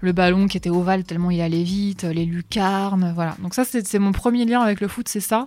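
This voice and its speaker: On a very clean recording with a silent background, a woman talks at a fairly quick pace and medium pitch with hardly any pauses. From northern France. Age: 40s. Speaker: radio host. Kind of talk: personal testimony. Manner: hesitant, repeating words.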